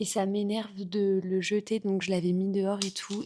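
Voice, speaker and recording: Very slow speech from a woman with a medium pitch. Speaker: vlogger and content creator. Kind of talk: casual vlog chat.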